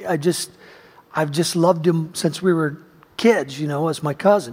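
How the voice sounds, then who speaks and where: An unremarkable speaking voice is heard. It keeps a moderate pace. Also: man. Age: 50s. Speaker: pastor. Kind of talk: sermon. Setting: church.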